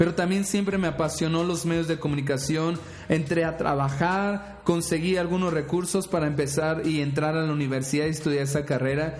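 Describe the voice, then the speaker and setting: Hardly pausing, a man talks in a fairly high pitch with fairly even intonation. Noticeable background noise and audible room echo fill the recording. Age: 30s. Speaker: podcast host and pastor. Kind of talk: inspirational monologue.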